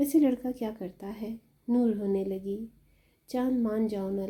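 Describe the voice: Someone is reading aloud plainly. The delivery is plain reading aloud.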